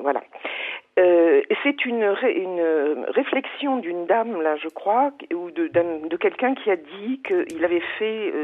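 A woman at a very slow pace and medium pitch, with very wide pitch swings and noticeable background noise. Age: 70s. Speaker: business coach and trainer. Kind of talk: radio call-in. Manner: halting.

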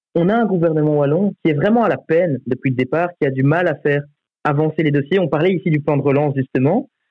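Speaking at a very fast pace, a man with a fairly high pitch keeps his loudness very even and his pitch variation ordinary. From Belgium, Charleroi region. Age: 20s. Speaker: youth politician. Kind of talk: radio debate.

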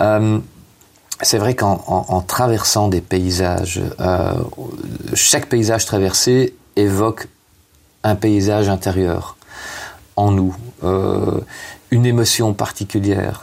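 Over noticeable background noise, a man talks at a fairly low pitch and a very slow pace, with long, frequent pauses. His intonation is fairly even and his loudness very even. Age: 50s. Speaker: author and hospital chaplain. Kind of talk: interview. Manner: halting, many hesitations.

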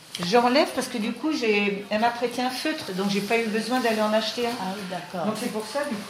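A woman speaks at a fairly high pitch with hardly any pauses. Noticeable background noise and audible room echo surround her. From Vendée, western France. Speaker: friend of a patient. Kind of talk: casual chat. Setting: patient's room.

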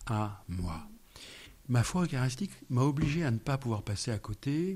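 With a dark, mellow tone, a man at a medium pitch sounds somewhat breathy and uses lively intonation. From France, Yvelines (Paris region). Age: 50s. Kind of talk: radio interview. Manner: halting, repeats words.

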